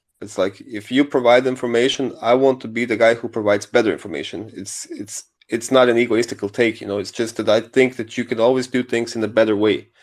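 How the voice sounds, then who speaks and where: A man talks at a very fast pace with hardly any pauses, in a non-native accent. His pitch is medium and his intonation fairly even. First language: not English. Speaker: crypto newsletter writer, project co-founder. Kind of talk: casual chat.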